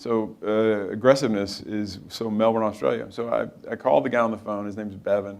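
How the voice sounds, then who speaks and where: Someone talks at a fairly quick pace with an Arkansas accent. There is audible room echo. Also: man. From Arkansas, US South (Helena). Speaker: company founder and CEO. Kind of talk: on-stage interview.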